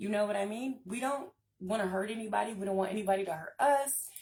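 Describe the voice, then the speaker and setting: A woman with a medium pitch and a somewhat breathy voice speaks at a very fast pace with ordinary pitch variation. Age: 30s. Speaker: spiritual channel host. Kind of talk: casual live stream talk. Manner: stutters and stumbles at times; many filler ums.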